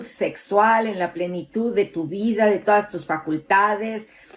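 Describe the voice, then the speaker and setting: A woman speaks with ordinary pitch variation and a fairly slow pace. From Mexico City. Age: 50s. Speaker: motivational speaker. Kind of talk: motivational talk.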